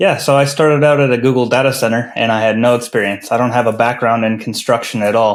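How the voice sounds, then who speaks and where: A man talks at a very fast pace with hardly any pauses, at a medium pitch and with fairly even intonation. His loudness stays very even, and the recording is very clean with a silent background. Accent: American. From northern US. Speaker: construction finance consultant. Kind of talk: podcast interview.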